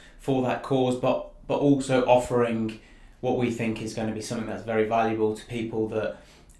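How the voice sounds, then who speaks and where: This man's voice sits at a medium pitch. Room echo is audible around him. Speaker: property investor and channel co-host. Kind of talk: educational live stream presentation. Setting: live stream video. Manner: quiet. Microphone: sounded far away, mic turned up.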